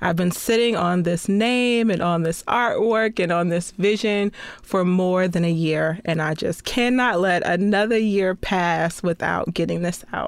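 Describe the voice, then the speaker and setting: A woman with an ordinary speaking voice and an American accent talks at a fairly slow pace with hardly any pauses, medium pitch, ordinary pitch variation and very even loudness, on a very clean recording with a silent background. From small-town Florida. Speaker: podcast host and television producer. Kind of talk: personal testimony monologue.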